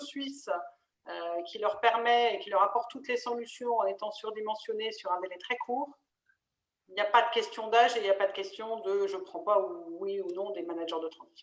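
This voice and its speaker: This woman has an unremarkable speaking voice and a fairly high pitch. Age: 50s. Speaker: interim manager, webinar co-host. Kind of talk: webinar panel discussion. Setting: online webinar.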